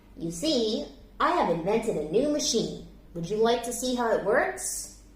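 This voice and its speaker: A put-on character voice comes through at a moderate pace with a slight echo. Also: woman, fairly high pitch for a woman. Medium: read story. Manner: earnest, thoughtful.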